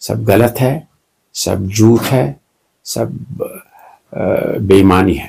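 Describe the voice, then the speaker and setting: With a dark, mellow tone and a somewhat breathy sound, a man talks with long, frequent pauses. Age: 70s. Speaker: retired doctor. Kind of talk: interview. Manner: halting.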